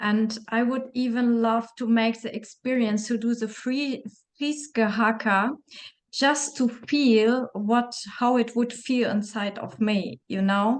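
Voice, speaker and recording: A woman's very slow speech with fairly even intonation. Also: fairly high pitch for a woman. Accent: German. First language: German. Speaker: interviewer. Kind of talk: interview. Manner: halting.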